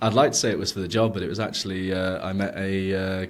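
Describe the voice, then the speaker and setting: A man with an English accent rattles along at a very fast pace, his fairly low voice monotone and flat, with audible room echo around it. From England. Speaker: product manager. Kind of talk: podcast interview. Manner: hesitant, many fillers.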